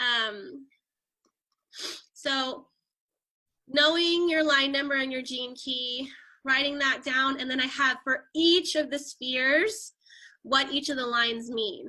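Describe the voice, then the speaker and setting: A woman's raised, projected voice, high in pitch with a bright, sharp tone and ordinary pitch variation, at a very slow pace with long, frequent pauses, in a very clean recording with a silent background. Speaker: human design teacher. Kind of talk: casual chat.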